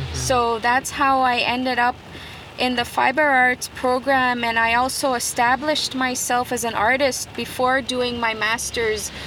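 The speech comes at a fairly slow pace in a monotone, flat intonation and very even loudness, over noticeable background noise. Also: woman, high pitch for a woman. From Quebec, Canada (Kitigan Zibi, Algonquin community). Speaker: artist. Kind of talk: interview.

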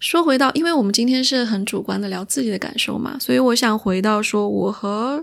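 A woman talks in an ordinary speaking voice, fairly high in pitch with ordinary pitch variation. Her pace is fairly quick, with hardly any pauses. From Chengdu, Sichuan. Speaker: podcast host. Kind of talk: casual chat. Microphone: new microphone.

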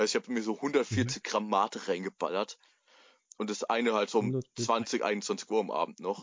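A man with an unremarkable speaking voice talks at a moderate pace, at medium pitch with fairly even intonation. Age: 20s. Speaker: podcast co-host. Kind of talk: casual chat. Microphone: phone mic on knee, tinny.

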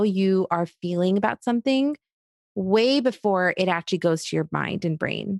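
In a dry, close sound with no echo, a woman with an American accent talks at a moderate pace and medium pitch in a normal speaking voice. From third culture kid: Egypt, Iraq, Australia, then Queens, New York. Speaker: clinical psychologist. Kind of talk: casual interview.

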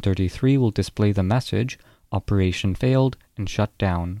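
A man's fairly low voice with a dark, mellow tone and a fairly quick pace, on a very clean recording with a silent background and a dry, close sound with no echo. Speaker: narrator reading SCP foundation entries. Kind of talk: scp horror narration. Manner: flat, clinical, formal deadpan delivery of dry containment procedures, eerie and measured.

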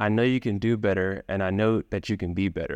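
A man with an American accent has an unremarkable speaking voice of fairly low pitch, recorded with a dry, close sound with no echo against a quiet background. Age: young. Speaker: violinist and internet entrepreneur. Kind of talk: interview conversation.

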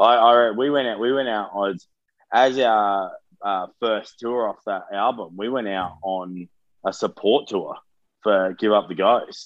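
A man speaks with an Australian accent at a medium pitch. His pace is fairly slow and his intonation fairly even. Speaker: metalcore vocalist. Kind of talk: interview.

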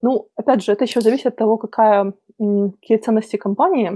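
A dark, mellow tone carries fairly even intonation in a dry, close sound with no echo. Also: woman. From Belarus. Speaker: diversity speaker from IT. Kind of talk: interview. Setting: remote call from home.

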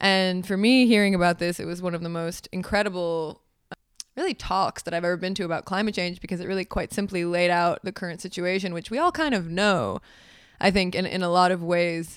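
A woman of medium pitch in an American accent, fairly quick in pace, with fairly even intonation and a very clean recording over a silent background. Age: 20s. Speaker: filmmaker and writer. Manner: fast talker.

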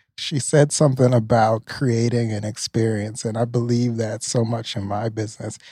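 A dark, mellow, somewhat breathy voice speaks in a flat monotone at a moderate pace with hardly any pauses, on a very clean recording with a silent background. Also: man, medium pitch for a man. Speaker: podcast interviewer. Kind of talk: casual interview chat.

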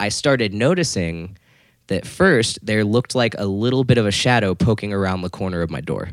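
A man speaks with a fairly low pitch and ordinary pitch variation on a very clean recording with a silent background. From Florida. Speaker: guitar accessories marketer and musician. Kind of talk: casual storytelling interview. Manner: halting, many fillers.

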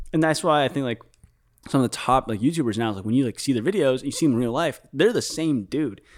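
A man with a Chicago accent, lively intonation, and a very fast pace, on a very clean recording with a silent background. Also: medium pitch for a man. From Chicago, Illinois. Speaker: filmmaker and vlogger. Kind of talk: casual chat. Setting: studio.

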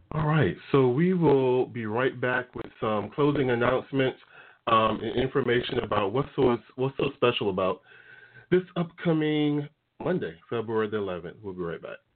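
Here is a man with a plain, everyday voice at medium pitch. His intonation is lively and his pace moderate. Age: 40s. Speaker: talk radio host. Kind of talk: casual chat. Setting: studio.

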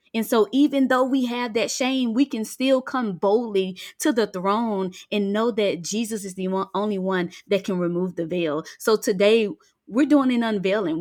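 On a very clean recording with a silent background, a woman speaks with a Southern US accent at a moderate pace and hardly any pauses. Her voice sits at medium pitch with ordinary pitch variation. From US South, Mississippi Delta. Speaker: freedom coach and author. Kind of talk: faith-based podcast interview.

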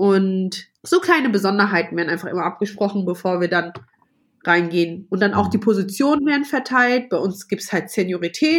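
At a moderate pace, a woman speaks with a medium pitch and very wide pitch swings. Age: 30s. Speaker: flight attendant. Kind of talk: interview. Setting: video call. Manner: loud.

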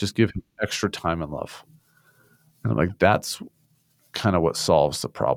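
A man with an American accent and a very deep, low pitch, with vocal fry, lively intonation, a moderate pace, long and frequent pauses, and a dry, close sound with no echo. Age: 30s. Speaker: shooting survivor. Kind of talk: testimony. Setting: remote call.

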